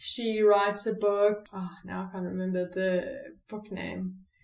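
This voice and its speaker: In a room with audible echo, a woman with a fairly high voice speaks very slowly and with fairly even intonation. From South Africa. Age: 30s. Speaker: recovery speaker. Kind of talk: personal testimony interview. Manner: halting, many fillers.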